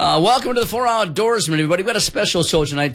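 A man's fast speech with a fairly bright tone

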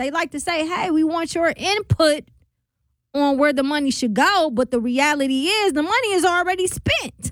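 At a moderate pace, a woman speaks at an extremely high pitch in a fairly bright tone.

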